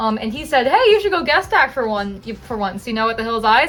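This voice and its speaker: The speech comes at a very fast pace, with music in the background. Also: woman. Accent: American. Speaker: haunt actor and vlogger. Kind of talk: casual vlog narration.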